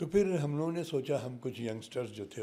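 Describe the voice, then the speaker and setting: A man speaks at a moderate pace with lively intonation and a dark, mellow tone. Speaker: actor and scientist. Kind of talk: interview conversation.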